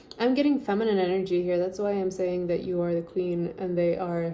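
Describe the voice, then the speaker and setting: Audible room echo surrounds this recording. The woman speaking has a fairly low pitch. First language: French. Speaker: tarot reader. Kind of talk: tarot reading. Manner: animated.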